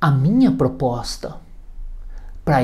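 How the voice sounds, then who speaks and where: With audible room echo, a man with a São Paulo accent speaks very slowly in a dark, mellow tone. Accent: Brazilian Portuguese, paulistano. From Brazil, São Paulo city. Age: 60s. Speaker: hypnotherapist. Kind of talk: video presentation. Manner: formal.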